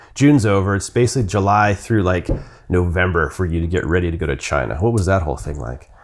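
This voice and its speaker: Vocal fry runs through a man's very deep, low pitch. He talks very fast with lively intonation. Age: 40s. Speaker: podcast host. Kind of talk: scripted intro and sponsor read; casual interview.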